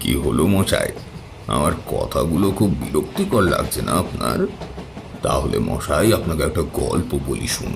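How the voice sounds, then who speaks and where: A man cackles in a put-on character voice at a moderate pace. Clear background noise runs behind him. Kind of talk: horror storytelling. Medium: read story. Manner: mocking, sly, with cackling laughter.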